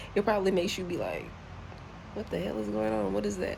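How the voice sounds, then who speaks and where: A woman's voice with very wide pitch swings in audible room echo. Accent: American. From US South, Charlotte, North Carolina. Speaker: travel vlogger. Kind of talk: casual vlog monologue. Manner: repetitive, searching for words.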